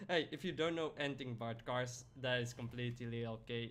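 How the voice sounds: A man's fairly bright voice at a moderate pace, with ordinary pitch variation.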